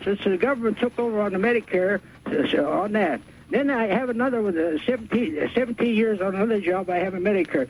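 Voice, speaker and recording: Against noticeable background noise, a man with a high voice talks at a very fast pace, his loudness very even. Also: ordinary pitch variation. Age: 80s+. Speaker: caller, retired railroad worker. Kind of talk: radio call-in. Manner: halting, repetitive.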